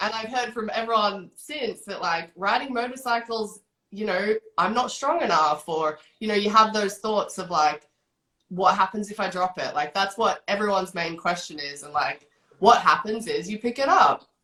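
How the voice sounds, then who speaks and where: A woman with an Australian accent speaks at a moderate pace and medium pitch. Her intonation is lively, and her loudness swings widely. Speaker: motorcycle coach. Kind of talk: podcast interview.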